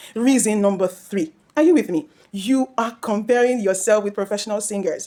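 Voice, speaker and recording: At a moderate speed, an ordinary speaking voice is heard. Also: woman. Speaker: vocal coach. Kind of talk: instructional talk to camera.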